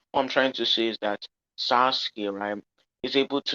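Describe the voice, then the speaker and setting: Bright and sharp in tone, a man speaks with fairly even intonation in a dry, close recording with no echo. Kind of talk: heated debate. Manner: halting. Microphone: sounded low and bad.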